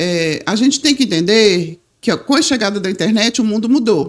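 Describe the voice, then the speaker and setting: This is an ordinary speaking voice. Its intonation is lively. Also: woman. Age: 60s. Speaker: political candidate, retired journalist and press officer. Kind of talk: podcast interview.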